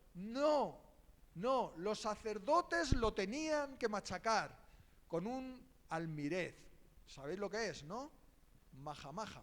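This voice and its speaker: Speaking very slowly with long, frequent pauses, a man's high voice swings very widely in pitch. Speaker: preacher. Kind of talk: sermon.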